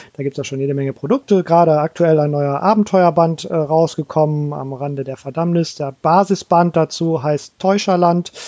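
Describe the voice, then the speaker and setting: A man with a dark, mellow tone and a fairly high pitch talks with hardly any pauses. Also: ordinary pitch variation, moderate pace, dry, close sound with no echo. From Hamburg, northern Germany. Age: 40s. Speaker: game designer. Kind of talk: casual chat.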